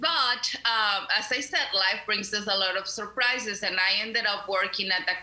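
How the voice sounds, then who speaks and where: There's noticeable background noise as a woman with a Mexican accent talks at a moderate pace with ordinary pitch variation. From Mexico (León, Guanajuato). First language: Spanish. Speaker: community center director, labor activist. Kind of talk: radio interview.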